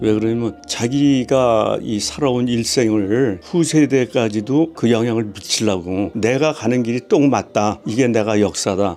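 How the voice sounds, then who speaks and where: A man at a fairly slow pace, over noticeable background noise. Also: medium pitch for a man, ordinary pitch variation, hardly any pauses. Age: 70s. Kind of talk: interview answer.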